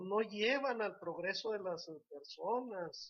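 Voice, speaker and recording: This man's voice is high-pitched. It varies in pitch in an ordinary way. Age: 70s. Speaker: lawyer and political commentator. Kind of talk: political analysis talk show.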